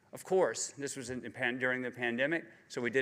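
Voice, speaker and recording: A bright, sharp tone comes through on a very clean recording with a silent background. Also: man. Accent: Southern US. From US South, Georgia. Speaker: cancer survivor speaker. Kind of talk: personal testimony speech. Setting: conference stage with audience. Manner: halting.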